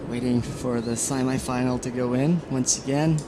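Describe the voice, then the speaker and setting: Noticeable background noise accompanies a man talking at a moderate pace. His pitch is medium, with ordinary variation. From Portugal. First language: Portuguese. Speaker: surf contest commentator. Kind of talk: live commentary. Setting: outdoors at the beach.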